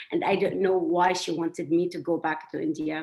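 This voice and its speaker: With a strong Syrian accent, the speaker goes at a fairly quick pace in fairly even intonation over noticeable background noise. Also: woman. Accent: thick Syrian. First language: Arabic. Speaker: panelist. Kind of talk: panel discussion.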